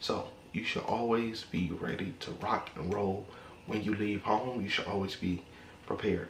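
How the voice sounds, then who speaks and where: Amid noticeable background noise and audible room echo, a man with a fairly low pitch speaks at a moderate pace with fairly even intonation. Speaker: gun vlogger. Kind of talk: casual vlog talk to camera. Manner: monotone.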